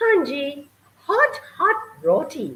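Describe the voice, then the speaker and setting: This is a put-on character voice, squeaky yet warm in tone. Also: woman. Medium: read story. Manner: warm, jovial.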